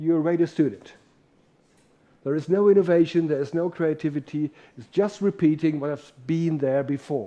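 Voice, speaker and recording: Fairly high for a man yet dark and mellow in tone, his voice moves at a moderate pace with big swings in loudness. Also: ordinary pitch variation. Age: 60s. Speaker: professor. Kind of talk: lecture. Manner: animated.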